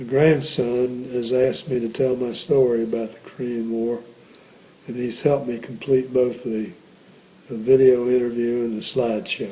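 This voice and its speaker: Over noticeable background noise and audible room echo, a man speaks at a medium pitch in a monotone, flat intonation at a moderate pace. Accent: American. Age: 80s+. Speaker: war veteran. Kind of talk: interview. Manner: halting.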